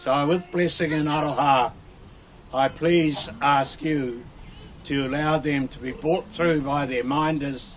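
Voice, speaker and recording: A man's fairly high voice at a very slow pace, fairly even in intonation, with noticeable background noise. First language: Maori. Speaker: marae orator welcoming guests. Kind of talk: formal ceremonial welcome speech. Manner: halting, with restarts.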